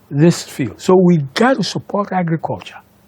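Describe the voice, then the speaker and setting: With noticeable background noise behind him, a man speaks at a high pitch and a moderate pace. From Ghana. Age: 70s. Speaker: inventor. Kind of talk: interview. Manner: animated.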